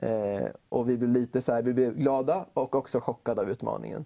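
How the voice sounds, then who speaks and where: A man speaks in a dark, mellow tone. His intonation stays fairly even. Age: 20s. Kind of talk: interview chat.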